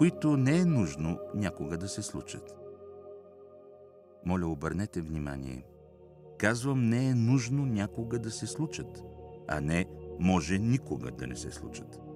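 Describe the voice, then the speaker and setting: Music plays in the background as a man speaks at a fairly slow pace with very wide pitch swings and long, frequent pauses. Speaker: actor, narrator. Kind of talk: audiobook reading of spiritual text.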